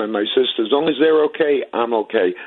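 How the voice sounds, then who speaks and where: A man talks at a fairly quick pace. He has a New York accent. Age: 50s. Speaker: retired city worker, caller. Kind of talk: call-in talk radio.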